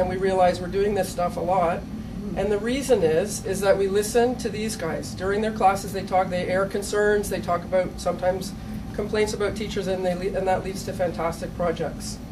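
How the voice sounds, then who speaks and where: A woman with a Canadian accent speaks at a fairly quick pace in a flat monotone. Background noise is noticeable. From Canada. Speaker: teacher. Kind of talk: conference presentation. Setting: stage with audience.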